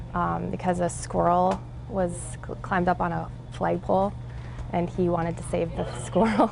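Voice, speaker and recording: A soft-spoken woman talks in a calm tone at a moderate pace. Her speech has long, frequent pauses. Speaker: 911 dispatcher. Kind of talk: interview.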